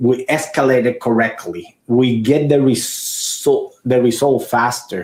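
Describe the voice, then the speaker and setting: This man has a fairly high pitch. He talks at a very slow pace. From Puerto Rico. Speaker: IT company owner. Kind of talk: podcast interview. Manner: halting, many repetitions.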